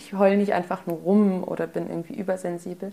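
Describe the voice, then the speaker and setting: A woman talks at a very fast pace. Her medium-pitched voice keeps a fairly even intonation. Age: 20s. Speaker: student. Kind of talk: personal interview.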